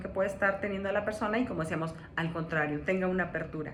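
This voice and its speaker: A woman of medium pitch speaks with ordinary pitch variation, amid audible room echo and noticeable background noise. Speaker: coach / personal development speaker. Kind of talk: lecture.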